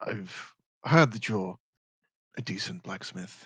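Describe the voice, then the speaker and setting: A man puts on a raspy character voice, fairly low in pitch. He talks at a fairly slow pace with very wide pitch swings. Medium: actual play.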